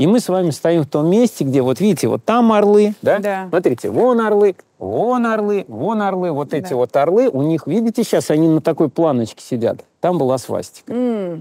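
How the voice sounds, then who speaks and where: Delivered at a moderate pace, the voice has a dark, mellow tone and a dry sound with no echo. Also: man. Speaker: historian guide. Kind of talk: interview answer. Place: street.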